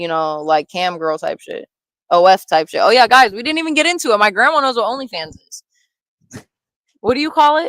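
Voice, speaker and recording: With an American accent, a woman with a fairly high voice swings very widely in pitch and sharply in loudness, leaving long, frequent pauses. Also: fairly quick pace, dry, close sound with no echo. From Ohio. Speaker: YouTube host interviewing her grandmother. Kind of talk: casual livestream interview.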